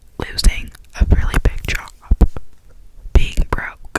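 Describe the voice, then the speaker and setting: A woman whispers at a very slow pace amid noticeable background noise. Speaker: ASMR creator. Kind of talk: ASMR whisper ramble. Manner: whispered, soft-spoken.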